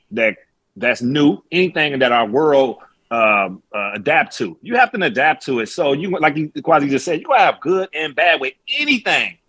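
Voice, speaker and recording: A man speaks at a moderate pace with vocal fry, a bright, sharp tone and very wide swings in pitch. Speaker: former NFL wide receiver. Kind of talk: casual sports talk. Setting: video call.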